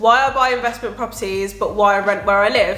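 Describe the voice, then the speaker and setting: Over noticeable background noise and audible room echo, a woman speaks very fast in an animated tone. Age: 20s. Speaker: property investor YouTuber. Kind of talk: casual explainer vlog.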